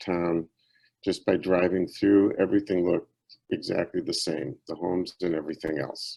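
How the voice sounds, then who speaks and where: In an American accent, a man speaks at a moderate pace with a very deep, low pitch and a dark, mellow tone. His intonation is fairly even, and the background is quiet. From US Midwest, Batavia, Illinois. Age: 70s. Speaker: obstetrician-gynecologist. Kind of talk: conference talk.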